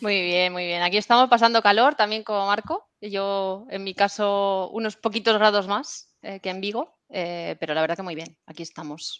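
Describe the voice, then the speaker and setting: A woman's normal speaking voice at medium pitch, with ordinary pitch variation, big swings in loudness, a moderate pace and hardly any pauses. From Spain, Valencia (Puerto de Sagunto). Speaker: cloud specialist, IT consultant. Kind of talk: casual interview.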